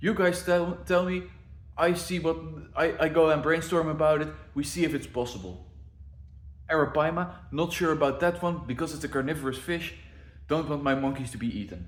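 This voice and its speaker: With audible room echo, a man speaks at a fairly quick pace and fairly high pitch, using ordinary pitch variation and long, frequent pauses. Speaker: zoo planner and video creator. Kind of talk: casual walkthrough of zoo plans.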